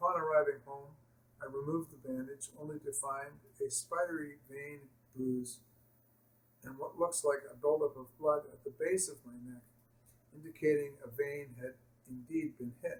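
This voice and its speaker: A man with a fairly high pitch speaks at a moderate pace, sounding somewhat breathy. His intonation is fairly even, his loudness swings widely, and he takes long, frequent pauses. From Canada. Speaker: patient telling his malpractice story. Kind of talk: personal testimony.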